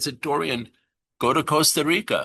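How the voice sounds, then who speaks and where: Against a quiet background, a man with a bright, sharp tone talks at a moderate pace with fairly even intonation. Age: 60s. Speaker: entrepreneur sharing healing story. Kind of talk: podcast interview testimony.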